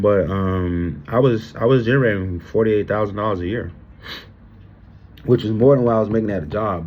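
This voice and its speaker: This man talks very fast, with ordinary pitch variation. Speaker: self-employed box truck driver and content creator. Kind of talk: casual talk to camera. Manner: animated.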